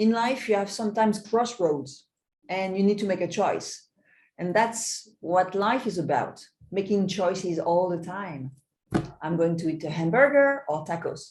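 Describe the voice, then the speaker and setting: A woman with a French accent at a medium pitch, speaking at a moderate pace with lively intonation. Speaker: magician. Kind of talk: interview.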